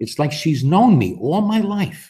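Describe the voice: A man's put-on character voice, fairly high and fairly slow, with a dark, mellow tone, a slightly husky edge and big pitch swings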